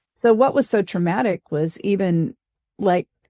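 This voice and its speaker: A woman with an American accent speaks at a fairly slow pace and medium pitch, her tone dark and mellow with ordinary pitch variation. The sound is dry and close with no echo, over a quiet background. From West Germany (Frankfurt), then US. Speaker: church leader. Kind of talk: interview. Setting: podcast.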